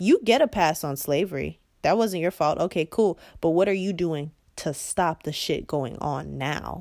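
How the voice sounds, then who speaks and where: A woman with vocal fry and a fairly low pitch talks at a moderate pace in an animated tone, using ordinary pitch variation, captured in a dry, close sound with no echo on a very clean recording with a silent background. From United States. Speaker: podcast host. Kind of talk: impassioned monologue.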